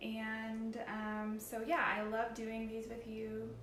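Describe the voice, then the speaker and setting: There is noticeable background noise and audible room echo. A woman speaks at a fairly high pitch. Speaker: paint company tutorial host. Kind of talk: live tutorial. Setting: live stream on computer. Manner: hesitant, many fillers.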